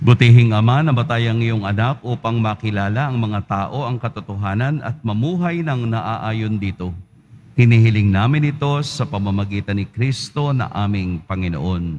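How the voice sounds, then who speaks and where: At a moderate pace, a man speaks in a plain, everyday voice, with medium pitch and ordinary pitch variation. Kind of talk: priest's solemn liturgical invitation to prayer, Tagalog Mass. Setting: church, livestreamed Mass. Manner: measured, formal priestly intonation.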